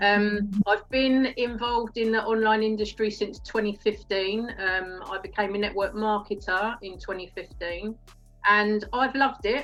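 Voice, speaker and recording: Over music in the background, a woman with an Essex accent talks at a fairly slow pace, her fairly high pitch carrying fairly even intonation. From England, Essex. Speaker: network marketer, former police detective. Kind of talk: live-stream interview. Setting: Facebook live video.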